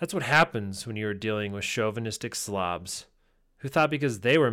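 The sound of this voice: The clip features an unforced reading voice. That is its sound.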